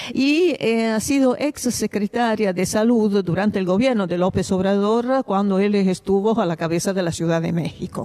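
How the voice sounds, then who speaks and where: Over noticeable background noise, a woman with an Italian accent speaks at a moderate pace and medium pitch, with ordinary pitch variation and hardly any pauses. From Italy. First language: Italian (speaking Spanish). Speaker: radio interviewer. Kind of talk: interview.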